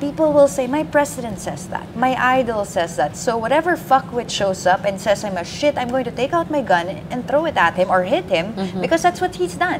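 A woman at fairly high pitch with very wide pitch swings, a fairly quick pace and hardly any pauses, over noticeable background noise. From Philippines. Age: 30s. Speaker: journalist. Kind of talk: live election-night panel discussion. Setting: studio. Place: office.

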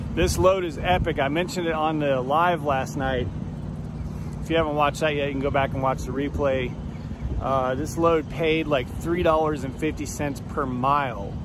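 Over noticeable background noise, a man speaks fairly slowly in a dry sound with no echo. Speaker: truck driver vlogger. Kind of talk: casual vlog monologue. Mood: upbeat, appreciative. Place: street. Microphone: phone near.

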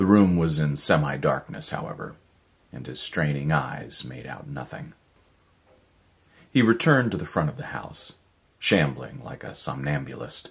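At a moderate pace, the delivery has lively intonation, big swings in loudness, and long, frequent pauses. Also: man, very deep, low pitch for a man. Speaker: voice actor. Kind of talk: audiobook short story reading. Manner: measured narration. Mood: measured, dramatic storytelling. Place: home room.

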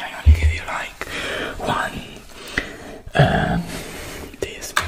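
Loud background noise runs under a man speaking at a very slow pace. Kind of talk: role-play talk to camera. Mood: caring, soothing. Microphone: earbuds.

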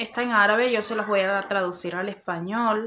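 In an ordinary speaking voice, a woman talks at a moderate pace and medium pitch with fairly even intonation over light background noise. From Cuba. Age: 30s. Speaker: YouTuber. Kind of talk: informational vlog. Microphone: phone near.

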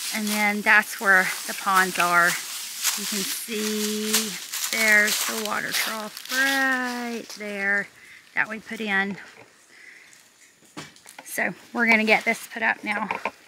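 A woman at a very slow pace with long, frequent pauses, the sound dry with no echo but loud background noise. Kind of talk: casual vlog chat. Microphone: phone near.

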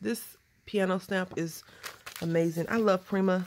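A woman with a Southern US accent talks at medium pitch with fairly even intonation. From Texas. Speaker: craft video creator. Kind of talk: casual crafting tutorial. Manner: nervous chatter.

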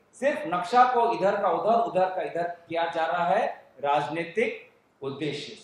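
A man's high-pitched voice at a fairly slow pace, with ordinary pitch variation and audible room echo. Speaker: politician at press conference. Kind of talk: press conference statement. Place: hall.

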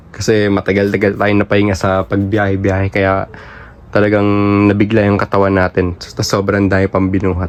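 A man talks fairly quickly in a fairly low, monotone voice with flat intonation. Noticeable background noise runs under him. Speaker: fireworks seller and YouTuber. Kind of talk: product showcase vlog. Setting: warehouse. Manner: halting, short of breath.

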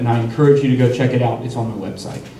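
A man talks with fairly even intonation. Light background noise and audible room echo are present. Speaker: city commission candidate. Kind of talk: candidate forum debate. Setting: stage with audience. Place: meeting room.

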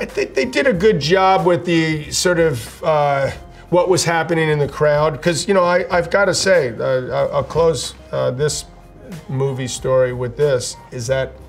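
A man talks fairly slowly while faint music plays behind him. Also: ordinary pitch variation. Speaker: former tennis player reviewing films. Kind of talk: interview answer. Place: studio.

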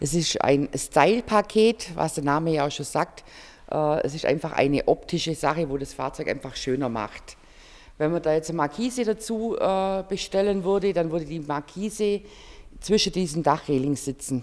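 A plain, everyday voice from a woman, fairly low in pitch, at a moderate pace. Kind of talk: interview answer. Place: hall. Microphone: handheld.

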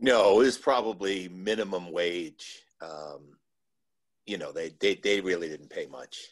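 In a normal speaking voice, a man with an American accent talks at a fairly low pitch with ordinary pitch variation and big swings in loudness against a quiet background. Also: fairly slow pace. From New Jersey, Cliffside Park; New Jersey. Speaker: former park worker; webinar guest. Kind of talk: panel interview; interview answer. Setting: video call. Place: home room. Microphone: video call.

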